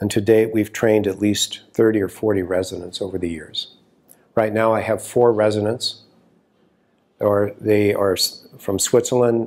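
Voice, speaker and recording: Fairly low male voice, monotone and flat, at a moderate pace. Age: 60s. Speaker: acupuncturist and teacher. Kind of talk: course preview talk to camera.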